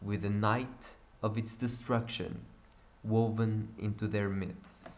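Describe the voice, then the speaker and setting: A fairly low-pitched male voice, monotone and flat, at a very slow pace with audible room echo. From Portugal. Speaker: gaming youtuber. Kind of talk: reading aloud.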